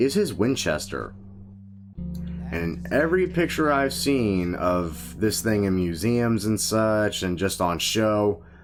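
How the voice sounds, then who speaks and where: A man's fairly low voice at a very slow pace, lively intonation, and music in the background. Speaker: gaming video creator. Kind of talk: casual gameplay commentary. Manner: casual, conversational.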